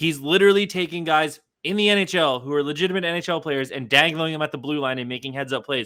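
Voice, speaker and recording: Shouting loudly at a very fast pace, a man with a fairly high pitch and a bright, sharp, animated tone keeps ordinary pitch variation, on a very clean recording with a silent background. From Canada. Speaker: sports podcast host. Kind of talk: casual sports podcast chat. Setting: home recording in bedroom. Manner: loud, yelling; fast, animated.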